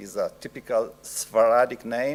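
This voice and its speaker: A man with an Italian accent speaks at a fairly slow pace. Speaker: professor. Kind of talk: lecture. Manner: halting.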